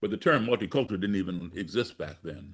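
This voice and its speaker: A man with an American accent, fairly low pitch and a fairly quick pace over a quiet background. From US, grew up partly abroad as embassy child. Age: 60s. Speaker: blues musician and activist. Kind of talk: interview storytelling.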